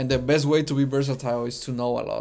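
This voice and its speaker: A very fast, monotone, flat man's voice with a Spanish accent, a medium pitch and a dark, mellow tone. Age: 20s. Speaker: vlogger. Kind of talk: personal reflection monologue. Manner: halting with fillers.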